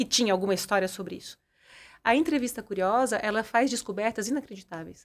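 Her voice fairly high, a woman speaks at a fairly quick pace with ordinary pitch variation. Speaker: personal development coach and entrepreneur; personal development coach. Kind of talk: casual interview. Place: studio. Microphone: studio mic.

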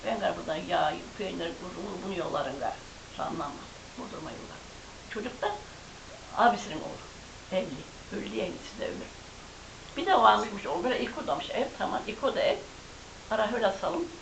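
Noticeable background noise, long, frequent pauses and a moderate pace in a woman's speech. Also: big swings in loudness. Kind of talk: oral history interview answer.

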